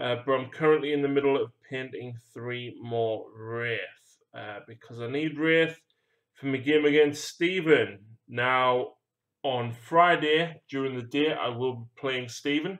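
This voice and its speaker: A man speaks with a British accent. His pitch is medium and his pace fairly slow. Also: ordinary pitch variation, big swings in loudness. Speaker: hobby painting streamer. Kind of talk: casual chat.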